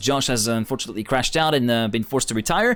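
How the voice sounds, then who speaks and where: A man with a non-native accent, very fast and animated, with lively intonation. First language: not English. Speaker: esports caster. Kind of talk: live commentary.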